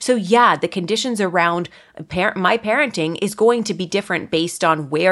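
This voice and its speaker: A woman with a Canadian accent speaks at a medium pitch and a moderate pace, in a normal speaking voice. The recording is very clean, with a silent background. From Ontario, Canada. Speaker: content creator and podcast host. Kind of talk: casual interview chat.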